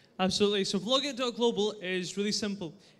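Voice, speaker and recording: Speaking with a Scottish accent, a man uses a high pitch with ordinary variation. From Scotland. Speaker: startup pitch presenter. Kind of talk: pitch presentation.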